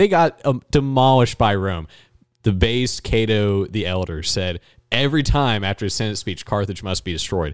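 A man with an American accent has a normal speaking voice, fairly low in pitch, with lively intonation. The recording is very clean with a silent background. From West Virginia tri-state area. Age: 20s. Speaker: college student and local party activist. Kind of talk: casual chat.

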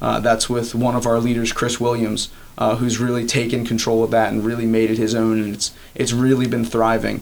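Speaking with an American accent at a fairly quick pace, the voice holds a monotone, flat intonation. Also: man, medium pitch for a man. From Maryland, US (Elkton). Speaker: college student, campus ministry leader. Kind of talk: interview. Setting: on campus.

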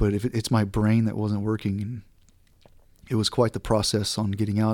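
A man with an American accent speaks very fast in a fairly low, monotone, flat voice. The recording is very clean, with a silent background. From Southeast Texas. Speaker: war veteran, former Navy SEAL dog handler. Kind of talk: interview, recounting experiences. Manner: casual.

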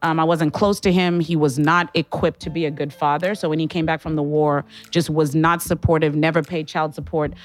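Over background music, a woman speaks very fast in a very deep, low voice. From Zimbabwe, Harare. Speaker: city health director, infectious diseases doctor. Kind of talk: live interview panel. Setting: live broadcast from a library. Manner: animated.

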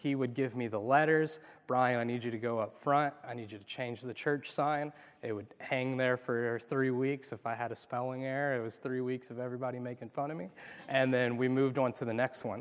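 In a very clean recording with a silent background, a man with a plain, everyday voice of medium pitch speaks at a fairly quick pace with fairly even intonation. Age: 30s. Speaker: youth pastor. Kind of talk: sermon. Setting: church.

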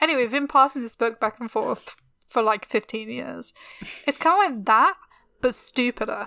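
A bright, sharp voice with a British accent and lively intonation at a moderate pace, dry and close with no echo. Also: woman, high pitch for a woman. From England. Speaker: history podcast co-host. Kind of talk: casual chat.

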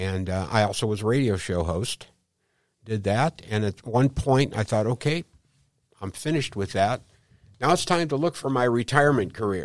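A man with a Midwestern American accent and medium pitch, lively in intonation, on a very clean recording with a silent background and a dry, close sound with no echo. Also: moderate pace. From St. Louis, Missouri. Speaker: Medicare insurance agent. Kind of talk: interview. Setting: studio.

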